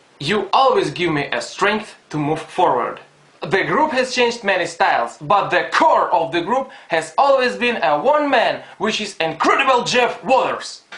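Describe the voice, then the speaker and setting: A man with a non-native accent, high-pitched with very wide pitch swings, fairly slow yet with hardly any pauses, amid noticeable background noise and audible room echo. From Ukraine. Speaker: fan. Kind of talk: fan message.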